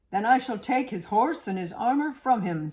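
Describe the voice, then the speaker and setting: A female-sounding voice uses a put-on character voice at a fairly high pitch. The pace is moderate. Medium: read story. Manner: haughty, condescending.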